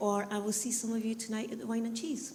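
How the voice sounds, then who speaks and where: Audible room echo surrounds a woman speaking at a fairly high pitch. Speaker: university college manager. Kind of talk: presentation to audience. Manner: loud.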